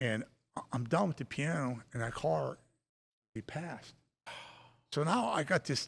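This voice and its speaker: Speaking at a moderate pace with long, frequent pauses, a man uses lively intonation and vocal fry at a fairly high pitch, recorded very cleanly against a silent background. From Appalachian region, Pennsylvania. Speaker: piano company owner. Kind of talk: casual podcast chat.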